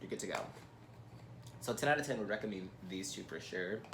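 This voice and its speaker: A man is speaking. The room echo can be heard. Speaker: beauty YouTuber. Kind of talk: product review vlog. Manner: casual, filler-heavy.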